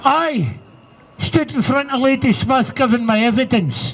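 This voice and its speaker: Speaking at an extremely high pitch with ordinary pitch variation, a man talks in a Scottish accent. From Scotland. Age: 70s. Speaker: abuse survivor speaker. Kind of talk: testimony.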